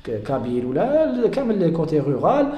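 Through noticeable background noise and audible room echo, a man can be heard talking. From Algeria. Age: 20s. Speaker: beekeeper and entrepreneur. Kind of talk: interview. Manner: halting.

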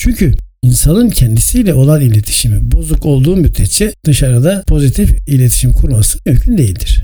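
Delivered at a fairly quick pace with hardly any pauses, the speech keeps a very even loudness. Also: man. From Turkey, İzmir. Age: 60s. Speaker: podcast host, journalist and communication expert. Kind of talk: solo podcast talk, scripted monologue. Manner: formal.

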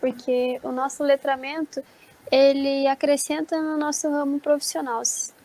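A woman with a high pitch talks at a fairly slow pace in a monotone, flat intonation, with a dry, close sound with no echo and noticeable background noise. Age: 20s. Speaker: pedagogy student. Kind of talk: casual chat.

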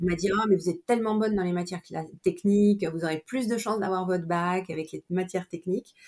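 Speaking at a very fast pace, a woman uses a medium pitch, with a dry, close sound and no echo. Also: fairly even intonation. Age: 50s. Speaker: image consultant and personal shopper. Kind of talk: interview. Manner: hesitant, many fillers.

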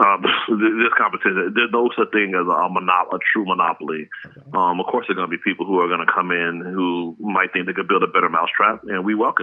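A man talks at a very fast pace with hardly any pauses, his loudness swinging widely. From US, Nigerian immigrant parents. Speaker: grocery delivery startup founder. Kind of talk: interview.

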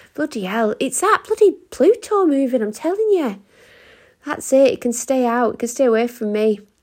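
Her high voice swinging very widely in pitch, a woman talks at a moderate pace. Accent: English. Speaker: astrology podcaster. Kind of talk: astrology forecast monologue. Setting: home recording. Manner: quieter than usual.

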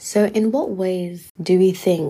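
The woman's voice is somewhat breathy. Its tone is dark and mellow. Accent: London. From London. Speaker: podcast host, university student. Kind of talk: solo podcast monologue.

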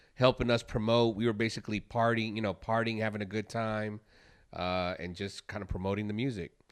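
A man with an American accent and a normal speaking voice, fairly low in pitch and fairly even in intonation, at a fairly quick pace over a quiet background. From US Midwest, Chicago. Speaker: podcast co-host, former DJ. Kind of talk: casual chat.

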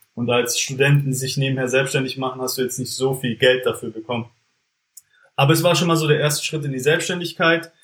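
This man has an unremarkable speaking voice and a fairly quick pace. He keeps a medium pitch and fairly even intonation. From Germany, Stuttgart area (Swabia). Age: 20s. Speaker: entrepreneur, former business consultant. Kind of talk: casual interview.

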